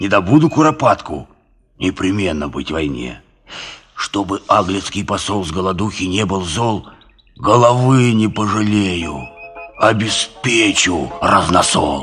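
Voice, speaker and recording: Pitched fairly low, a man's voice swings very widely in pitch, broken by long, frequent pauses. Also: moderate pace. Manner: simple-hearted, folksy.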